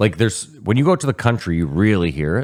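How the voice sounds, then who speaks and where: An ordinary speaking voice from a man with a Canadian accent, fairly low in pitch, with lively intonation at a moderate pace, on a very clean recording with a silent background. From Canada.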